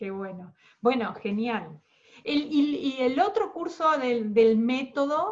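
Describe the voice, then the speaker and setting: A woman with a high pitch talks at a very slow pace, her voice making very wide pitch swings and big swings in loudness. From Argentina. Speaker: podcast host. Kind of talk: interview.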